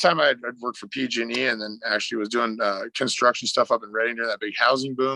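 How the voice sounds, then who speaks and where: A bright, sharp voice with an American accent and fairly even intonation, dry and close with no echo over a quiet background. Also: man. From Northern California. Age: 40s. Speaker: fishing guide. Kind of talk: podcast interview. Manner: halting, many fillers.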